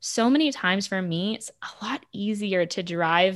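In a very clean recording with a silent background, a woman uses an ordinary speaking voice at a medium pitch with lively intonation. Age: 30s. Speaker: sales consultant. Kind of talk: podcast interview.

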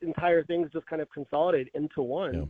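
A man talks with an American accent. His pitch is high, with ordinary variation. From North Texas. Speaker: media industry analyst. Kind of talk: interview.

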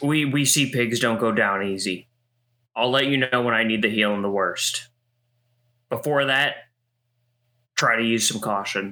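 In a shaky, put-on character voice, the speaker goes at a moderate pace with long, frequent pauses. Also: man, medium pitch for a man. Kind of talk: tabletop in-character speech. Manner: stern but quivering, hiding fear.

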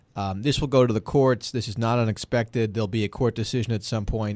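A plain, everyday voice from a man with an American accent, medium pitch and ordinary pitch variation against a quiet background. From Boston area. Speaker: political strategist. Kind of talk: panel discussion.

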